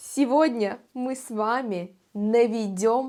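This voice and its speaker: At a very slow pace, a woman speaks in a fairly high pitch with ordinary pitch variation. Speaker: Russian language teacher. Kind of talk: language lesson vlog. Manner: slow and clear.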